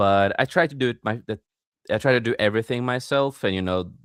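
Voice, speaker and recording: Ordinary pitch variation from a man speaking with a non-native accent. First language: not English. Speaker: podcast host and author. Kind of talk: casual chat.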